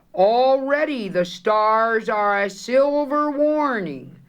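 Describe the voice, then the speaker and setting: A female-sounding, put-on character voice is pitched high. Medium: read story.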